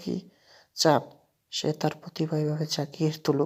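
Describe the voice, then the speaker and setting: Very deep and low in pitch, a woman speaks in a very clean recording with a silent background. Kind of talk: casual video commentary voiceover. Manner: informal, chatty.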